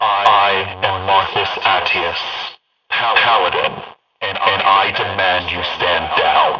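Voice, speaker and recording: A man's put-on character voice, fairly low-pitched and resonant, with a monotone, flat intonation, a very slow pace and clear echo. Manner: commanding.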